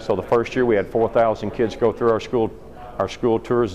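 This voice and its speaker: This man speaks with an American accent at a fairly low pitch. Noticeable background noise runs underneath. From Kentucky. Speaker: dairy farmer and ice cream business owner. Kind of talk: interview storytelling. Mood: friendly, proud. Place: hall. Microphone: phone near.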